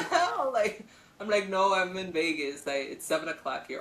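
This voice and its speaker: Against noticeable background noise, a woman talks at a moderate pace with lively intonation and big swings in loudness. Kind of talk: informal conversational. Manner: casual, animated, profane.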